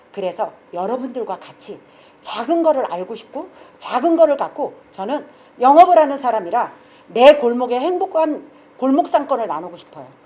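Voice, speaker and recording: A woman's high-pitched, animated voice at a moderate pace, with very wide pitch swings and big swings in loudness. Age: 60s. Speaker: shop owner and guitar club organizer. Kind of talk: project pitch presentation.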